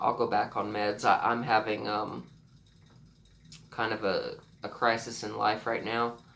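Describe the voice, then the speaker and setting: Speaking at a fairly slow pace with vocal fry and a monotone, flat intonation, a man leaves long, frequent pauses. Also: medium pitch for a man. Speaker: vlogger sharing illness story. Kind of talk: personal testimony vlog. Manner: halting, many repetitions and fillers.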